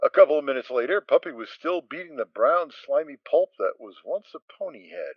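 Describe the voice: Fairly quick, lively speech from a man at fairly high pitch, dry, close sound with no echo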